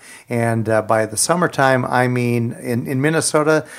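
Here a man uses a normal speaking voice, talking at a moderate pace with a medium pitch and ordinary pitch variation. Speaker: co-host of radio program. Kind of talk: radio talk show discussion.

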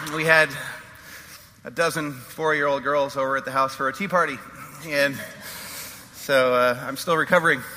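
Amid noticeable background noise, a man with a fairly high pitch and ordinary pitch variation speaks at a moderate pace, leaving long, frequent pauses. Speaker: pastor. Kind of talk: sermon. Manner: hesitant, many fillers.

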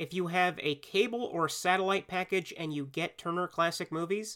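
Here a man talks at a high pitch and a moderate pace. His pitch varies in an ordinary way. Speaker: podcast host. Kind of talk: solo podcast Q&A, scripted with jokes. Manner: self-deprecating, animated, humorous; stumbles over script at times.

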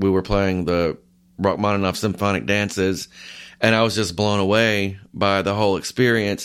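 An ordinary speaking voice belongs to a man with fairly low pitch and fairly even intonation. He talks at a moderate pace on a very clean recording with a silent background. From US South, north Georgia. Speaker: orchestral oboist. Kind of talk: interview.

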